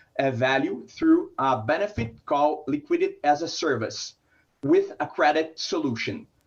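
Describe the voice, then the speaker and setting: A man with a Brazilian Portuguese accent, speaking at a fairly slow pace. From Brazil, São Paulo. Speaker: startup founder. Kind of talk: startup pitch.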